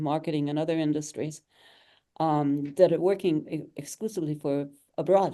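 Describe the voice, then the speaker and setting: In a quiet background, a woman with an American accent speaks at a moderate pace in a very deep, low pitch, her tone dark and mellow and her intonation fairly even. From Michigan, USA. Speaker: president of a digital marketing agency. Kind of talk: interview answer.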